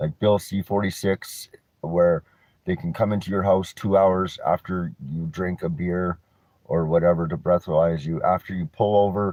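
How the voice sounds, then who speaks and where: This man has a very deep, low pitch and a western Canadian accent. He speaks at a moderate pace with fairly even intonation. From Canada, North Vancouver. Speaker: vlogger, cannabis reviewer. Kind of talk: casual rant vlog. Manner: mumbling when mellow; halting, many restarts.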